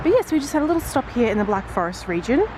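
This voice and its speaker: Lively intonation from a woman over noticeable background noise. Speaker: travel vlogger. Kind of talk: travel vlog narration. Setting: outdoors.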